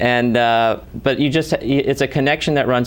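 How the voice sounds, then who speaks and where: A man talks with ordinary pitch variation against noticeable background noise. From New Hampshire, Franconia area. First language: German (bilingual, grew up speaking it at home). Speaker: documentary filmmaker. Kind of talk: interview. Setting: studio. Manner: halting, many fillers and repeats.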